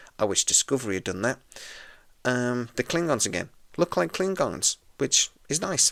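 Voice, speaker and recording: Quiet and at a moderate pace, a man's voice makes very wide pitch swings with long, frequent pauses, the sound dry and close with no echo. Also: medium pitch for a man. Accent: British. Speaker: podcast host. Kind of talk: TV episode review.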